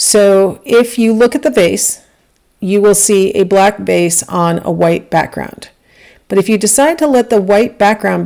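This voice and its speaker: The woman's tone is dark and mellow, her pitch medium with ordinary variation. She speaks at a fairly slow pace. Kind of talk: lecture, explanatory.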